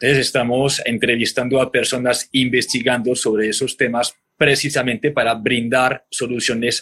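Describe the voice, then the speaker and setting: This man talks at a moderate pace in a normal speaking voice, medium in pitch. The sound is dry and close, with no echo. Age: 30s. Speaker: podcast host on restaurant marketing. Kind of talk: interview guest conversation.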